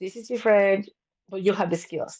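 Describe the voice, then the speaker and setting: A woman's medium-pitched voice in a Spanish accent, with ordinary pitch variation and a quiet background. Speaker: counsellor and business owner. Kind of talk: interview conversation.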